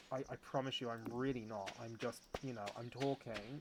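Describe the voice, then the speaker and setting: The speaker is a man with a medium pitch. He keeps a moderate pace. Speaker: game streamer. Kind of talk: casual chat. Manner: animated.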